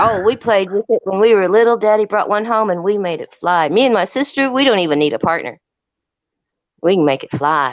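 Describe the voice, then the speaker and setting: A normal speaking voice at a fairly quick pace. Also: woman, medium pitch for a woman. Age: 60s. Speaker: live stream caller. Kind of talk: casual chat.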